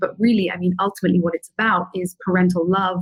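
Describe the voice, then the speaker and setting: A woman speaks with a somewhat breathy voice. The sound is dry and close, with no echo. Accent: British. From London, England. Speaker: filmmaker. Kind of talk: interview answer.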